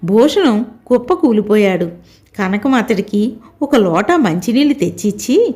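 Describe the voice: Lively intonation colors the delivery. It is plain reading aloud.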